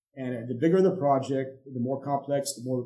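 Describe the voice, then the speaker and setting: This man's voice sits at a fairly high pitch, with a dark, mellow tone and a somewhat breathy quality. He talks at a moderate pace with ordinary pitch variation. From Egypt. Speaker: company executive. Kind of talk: podcast interview.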